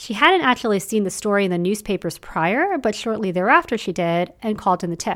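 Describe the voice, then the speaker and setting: Speaking at a moderate pace in an ordinary speaking voice, a woman of medium pitch uses lively intonation, in a very clean recording with a silent background. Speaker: podcast host. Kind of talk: true-crime narration, scripted storytelling. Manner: measured, steady, serious storyteller pace.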